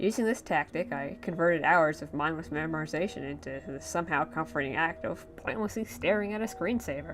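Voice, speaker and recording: A woman speaks at a very fast pace. Music plays in the background. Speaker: creepypasta narrator. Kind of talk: horror story narration. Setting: home recording, muffled audio. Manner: slurred.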